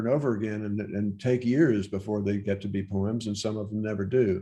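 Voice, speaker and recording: A man with an American accent talks at a fairly quick pace and a fairly low pitch. His tone is dark and mellow, his intonation fairly even. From Virginia, Loudoun County. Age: 70s. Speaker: poet. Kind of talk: interview answers. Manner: halting, many fillers.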